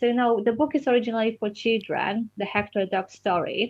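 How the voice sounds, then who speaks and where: A woman with a Polish accent, fairly quick pace and fairly even intonation. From Poland. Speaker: children's book author. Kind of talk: interview. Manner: halting.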